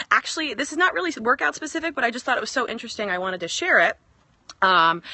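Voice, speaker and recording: A woman talks at a very fast pace with a fairly high pitch. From US Northeast, northern New Jersey. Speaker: fitness coach. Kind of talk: casual live-stream chat. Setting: outdoors in backyard.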